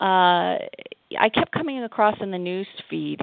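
An unremarkable speaking voice with an American accent, at a fairly slow pace. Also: woman. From Massachusetts. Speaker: author and attorney. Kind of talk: interview.

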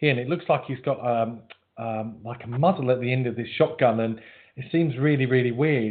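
Speaking at a fairly quick pace, a man in a British accent keeps a medium pitch and fairly even intonation. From UK. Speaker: psychic medium. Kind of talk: casual reading with callers. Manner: playful, jokey.

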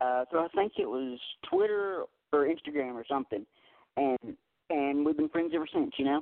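There are long, frequent pauses as a man with a fairly high pitch talks at a moderate pace with ordinary pitch variation. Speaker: country music radio host. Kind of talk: casual radio show hosting; reading artist bio. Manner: halting, many fillers.

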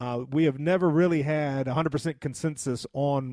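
The sound is dry and close with no echo as a man with a fairly high pitch and a dark, mellow tone speaks with ordinary pitch variation. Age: 40s. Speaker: radio host. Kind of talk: casual chat.

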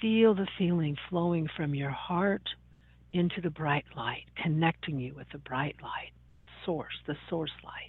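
A woman speaks in a plain, everyday voice at a fairly low pitch. She goes at a fairly slow pace with ordinary pitch variation. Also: big swings in loudness. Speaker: radio host. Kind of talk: guided meditation; talk show monologue. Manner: slow, soothing, calm; gentle, deliberate, instructive.

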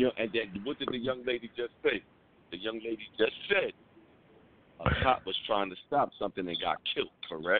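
Speaking with a New York accent, a man at medium pitch uses lively intonation and a moderate pace broken by long, frequent pauses. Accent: New York City. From New York City, the Bronx. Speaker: police officer, caller. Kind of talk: casual chat.

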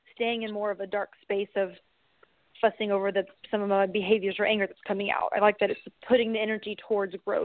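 A woman with an unremarkable speaking voice talks at a fairly high pitch and a fairly quick pace. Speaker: caller. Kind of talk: call-in personal story.

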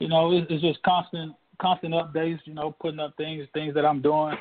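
Fairly quick in pace, a man speaks in an unremarkable speaking voice with a fairly high pitch. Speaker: indie rapper. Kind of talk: radio interview.

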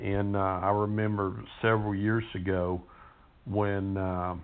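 Against audible room echo, a man speaks in a very deep, low, monotone voice with flat intonation. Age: 60s. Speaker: pastor. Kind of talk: sermon. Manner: hesitant, with frequent fillers and repeats.

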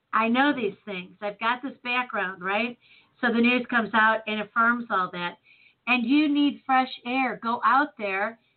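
With an American accent, a woman uses a normal speaking voice at a fairly high pitch, speaking at a fairly slow pace with ordinary pitch variation. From US Midwest, Chicago. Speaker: talk radio host. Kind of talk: casual chat.

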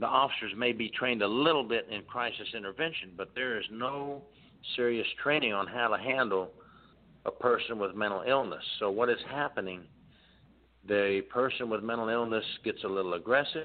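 A man with a plain, everyday voice speaks at a moderate pace and medium pitch with ordinary pitch variation. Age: 50s. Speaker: former prison inspector and author. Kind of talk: radio interview.

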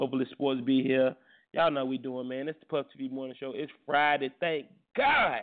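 Medium in pitch, a man speaks. His pace is fairly quick. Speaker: radio host. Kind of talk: casual chat. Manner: animated.

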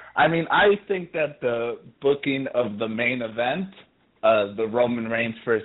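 An unremarkable speaking voice from a man, medium in pitch with ordinary pitch variation and a fairly slow pace. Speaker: podcast co-host. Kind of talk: casual chat. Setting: phone call.

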